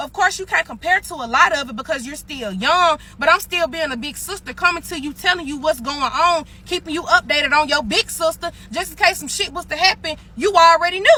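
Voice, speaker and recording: A woman speaks in a raised, projected voice at an extremely high pitch, with lively intonation and big swings in loudness. She hardly pauses, and there is noticeable background noise. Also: fairly quick pace. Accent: Mississippi. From US South (Mississippi). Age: 20s. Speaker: social media storyteller. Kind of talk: heated rant. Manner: animated.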